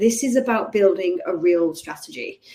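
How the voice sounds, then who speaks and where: The speaker is a woman. She has a dark, mellow tone. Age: 30s. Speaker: remote career coach. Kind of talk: webinar presentation. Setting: live webinar. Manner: animated.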